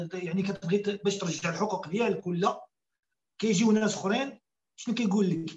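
A man speaks with a high pitch and ordinary pitch variation. His pace is moderate, and the background is quiet. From Morocco. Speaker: caller. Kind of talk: casual chat. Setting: phone call. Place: home room. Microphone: video call.

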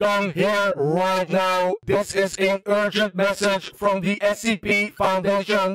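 Putting on a robotic character voice, a man speaks monotone and flat at a very slow pace and high pitch, with hardly any pauses. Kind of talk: formal urgent announcement.

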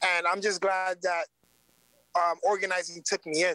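In a dry recording with no echo and a quiet background, a man with an American accent speaks at a moderate pace, his high pitch carrying a bright, sharp tone. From New York City, South Bronx; New York City. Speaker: community organizer; guest. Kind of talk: interview. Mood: earnest, engaged. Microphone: video call.

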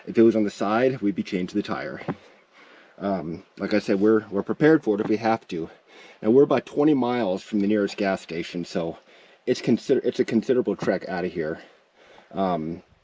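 A man's fairly low voice at a fairly quick pace. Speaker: vlogger. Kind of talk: casual vlog chat. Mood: calm, mildly concerned. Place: open country. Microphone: phone near.

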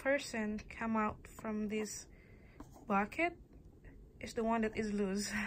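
A woman with an Indonesian accent talks at a very slow pace with long, frequent pauses, her fairly high, somewhat breathy voice showing ordinary pitch variation over light background noise. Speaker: student vlogger; toy reviewer. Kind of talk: casual show-and-tell vlog; casual vlog chat. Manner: halting, many pauses and fillers. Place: home room. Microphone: phone near.

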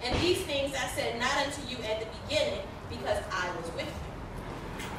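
A woman speaks at a moderate pace in a high voice, with audible room echo and noticeable background noise. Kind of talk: scripture reading. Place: stage.

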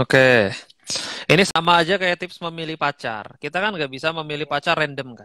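Over a quiet background, a man speaks at a fairly quick pace in a bright, sharp tone with ordinary pitch variation and a dry sound with no echo. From Indonesia, living in Bali. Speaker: guest. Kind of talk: casual interview over Instagram Live. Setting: Instagram live video call. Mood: relaxed, joking. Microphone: headset.

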